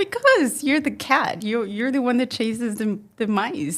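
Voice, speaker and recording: A woman speaks at a fairly high pitch with lively intonation. Her pace is fairly slow. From Mexico. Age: 40s. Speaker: entrepreneur and marketer. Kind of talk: podcast interview. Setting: studio.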